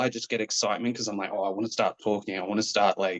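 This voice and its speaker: A man speaks with an Australian accent in a dry, close sound with no echo. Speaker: professional wrestler. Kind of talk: interview.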